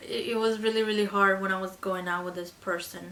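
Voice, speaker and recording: A woman speaks with a Spanish accent and ordinary pitch variation. There is noticeable background noise. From Colombia. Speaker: beauty vlogger. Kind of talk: casual chat.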